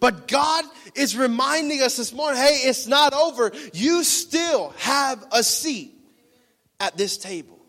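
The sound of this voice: At a fairly slow pace, a man with extremely high pitch uses lively intonation and an animated, playful tone.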